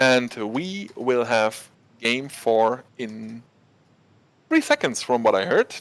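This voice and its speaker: A man at a medium pitch, speaking at a very slow pace with ordinary pitch variation and long, frequent pauses. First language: German. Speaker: esports caster. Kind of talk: live commentary. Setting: studio, casting from the background. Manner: animated.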